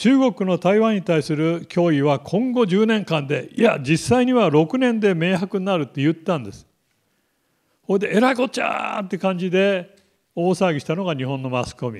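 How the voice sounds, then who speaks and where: In a quiet background, a man with a high pitch speaks at a moderate pace, his intonation lively and his loudness swinging widely. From Japan, Kumamoto; Japan. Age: 70s. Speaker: military analyst. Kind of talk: lecture. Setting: lecture hall with live online stream. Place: classroom. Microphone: handheld.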